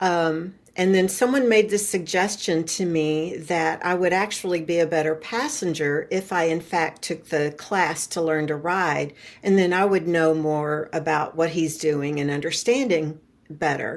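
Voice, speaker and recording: The recording is very clean with a silent background. A woman with an ordinary speaking voice talks fairly slowly at a fairly low pitch, with ordinary pitch variation. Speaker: retiree and podcast guest. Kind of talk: interview conversation.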